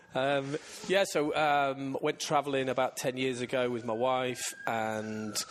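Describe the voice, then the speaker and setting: Noticeable background noise around a man's medium pitch and fairly slow pace. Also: ordinary pitch variation. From northern England, Scunthorpe. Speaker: plumbing and heating business owner. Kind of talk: casual interview chat. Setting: business showroom.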